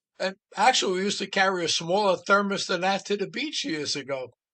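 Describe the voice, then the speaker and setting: A man with a New York accent speaks at a high pitch and a moderate pace. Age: 70s. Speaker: podcast host. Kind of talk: casual chat.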